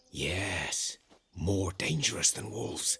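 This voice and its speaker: A man does a raspy, put-on character voice. It sits very deep and low and moves at a fairly slow pace. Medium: video game. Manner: folksy, plain-spoken.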